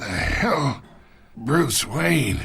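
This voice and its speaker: A man puts on a raspy character voice at a fairly high pitch, with very wide pitch swings. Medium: video game. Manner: smug, mocking.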